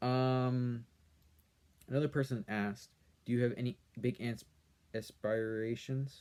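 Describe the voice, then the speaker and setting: A soft-spoken man talks at a fairly slow pace with medium pitch and a dark, mellow tone. His speech has long, frequent pauses. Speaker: YouTuber answering comments. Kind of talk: casual chat. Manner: monotone. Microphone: quiet audio, no proper microphone.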